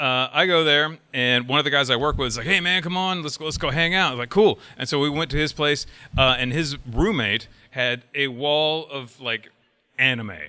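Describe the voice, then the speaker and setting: This man has a strong Southern US accent and a fairly high, bright, sharp voice. He speaks at a moderate pace with ordinary pitch variation. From US South, upstate South Carolina. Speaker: website founder, convention panelist. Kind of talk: convention panel talk. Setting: stage with audience. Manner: casual, hesitant with fillers.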